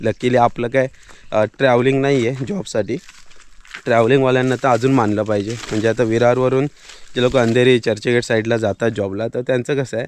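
A man talks in a normal speaking voice at a medium pitch. His intonation is fairly even. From Konkan, Maharashtra (Sangameshwar, Ratnagiri). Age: 30s. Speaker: village vlogger. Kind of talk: casual vlog narration. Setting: outdoors.

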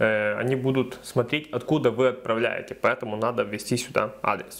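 At a moderate pace, a man speaks in a plain, everyday voice of medium pitch. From Ukraine. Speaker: video blogger giving crypto tutorials. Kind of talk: tutorial. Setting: screen recording voiceover.

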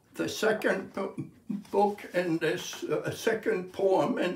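The speech moves at a very slow pace, with audible room echo. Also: man. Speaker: poet. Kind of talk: poetry reading. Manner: slow, measured, contemplative delivery. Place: home room. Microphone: phone near.

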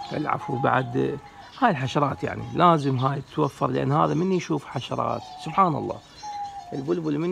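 A man with ordinary pitch variation, faint music in the background. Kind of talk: casual tutorial talk.

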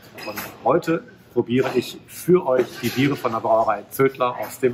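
A man's voice with ordinary pitch variation over light background noise. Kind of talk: product presentation to camera. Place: shop. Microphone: phone near.

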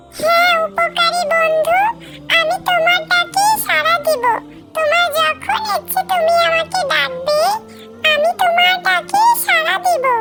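A cartoonish character voice speaks in an extremely high pitch at a very slow pace. Clear music plays in the background. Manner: polite, pleading.

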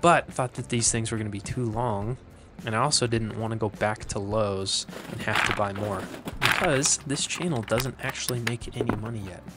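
Loud background noise surrounds a man's voice. He speaks at a moderate pace with ordinary pitch variation. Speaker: maker channel host. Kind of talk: casual build tutorial chat. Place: garage.

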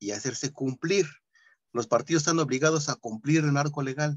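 A man's fairly quick, somewhat breathy speech, fairly high in pitch with fairly even intonation, over a quiet background. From Nezahualcóyotl, State of Mexico. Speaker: workshop participant. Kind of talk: discussion. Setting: video call.

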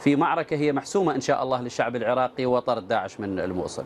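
A man is speaking with ordinary pitch variation. Light background noise can be heard. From Iraq. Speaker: military spokesman. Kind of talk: live TV interview; interview answer. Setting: remote video link. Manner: formal. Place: studio.

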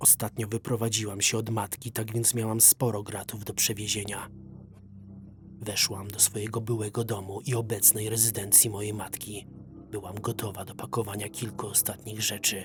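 A man speaks at a fairly low pitch. His intonation is flat and monotone, with music playing in the background. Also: moderate pace. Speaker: voice-over reader. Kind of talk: horror story narration.

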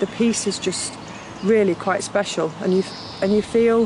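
With monotone, flat intonation, a woman talks at a moderate pace against noticeable background noise. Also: dry sound with no echo. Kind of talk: interview answer. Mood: warm, reflective. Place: waterside.

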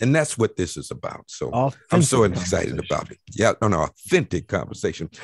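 Hardly pausing, a man with an American accent talks at a fairly quick pace at medium pitch, making very wide pitch swings with vocal fry in a dry, close sound with no echo. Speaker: talk show host, former mayor. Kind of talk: panel talk show.

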